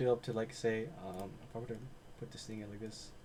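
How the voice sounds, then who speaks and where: Somewhat breathy and keeping a fairly even intonation, a man talks at a very fast pace. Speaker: day trading instructor. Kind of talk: screen-share tutorial.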